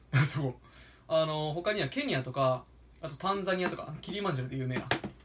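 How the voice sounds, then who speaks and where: Amid noticeable background noise, a man with a fairly high pitch talks at a very fast pace with lively intonation. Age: 20s. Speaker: podcast co-host and coffee roaster. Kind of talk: casual chat.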